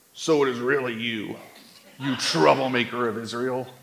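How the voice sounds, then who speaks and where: Putting on a gravelly character voice at a medium pitch, a man talks at a moderate pace. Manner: accusatory.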